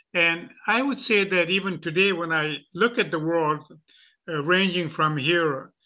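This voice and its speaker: A bright, sharp tone at a fairly slow pace, with ordinary pitch variation and a quiet background. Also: man. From Afghanistan. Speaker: professor. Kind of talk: interview. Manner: halting, many fillers.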